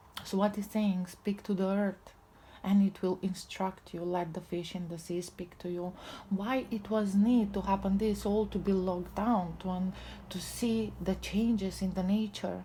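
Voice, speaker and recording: A woman with a non-native accent speaks at a moderate pace and medium pitch, her tone dark and mellow. Her intonation is monotone and flat, and her voice is somewhat breathy. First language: not English. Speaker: tarot reader. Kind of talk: spiritual tarot reading. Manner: halting.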